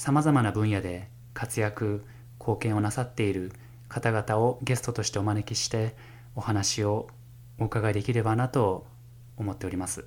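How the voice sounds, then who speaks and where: The man's voice is somewhat breathy. He keeps a moderate pace. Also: fairly low pitch for a man, fairly even intonation. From Japan, Fukushima. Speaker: music professor and jazz pianist. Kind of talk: solo podcast monologue. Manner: formal.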